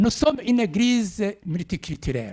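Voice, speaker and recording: Talking at a very slow pace, a man with an East African accent has a dark, mellow tone. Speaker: preacher. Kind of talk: sermon. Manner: halting.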